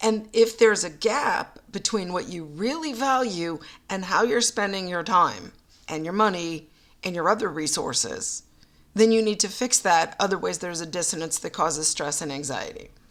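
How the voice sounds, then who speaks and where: Over a very clean recording with a silent background, a normal speaking voice moves at a moderate pace with lively intonation. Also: woman, medium pitch for a woman. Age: 50s. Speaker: podcast host and teacher. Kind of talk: reflective monologue.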